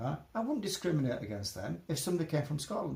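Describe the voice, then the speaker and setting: Speaking at a very fast pace with a Yorkshire accent, a man uses a fairly high pitch, very wide pitch swings and vocal fry. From Yorkshire, northern England. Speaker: interviewee on discrimination. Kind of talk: casual interview. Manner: halting, repetitive.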